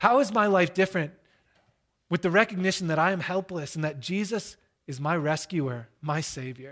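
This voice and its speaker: Very clean and set against a silent background, the recording features a man speaking at a high pitch and moderate pace with lively intonation. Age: 30s. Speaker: pastor. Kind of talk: sermon.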